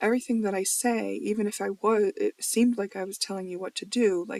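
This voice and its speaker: A woman's mumbling at a medium pitch, fairly even in intonation, in a dry, close sound with no echo. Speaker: spiritual video blogger, tarot reader. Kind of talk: casual monologue video journal. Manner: mumbling, trailing off words; rambling.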